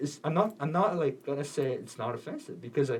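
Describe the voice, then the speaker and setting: A man's fairly high-pitched voice with vocal fry. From South Korea. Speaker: college radio co-host. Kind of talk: casual chat. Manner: halting.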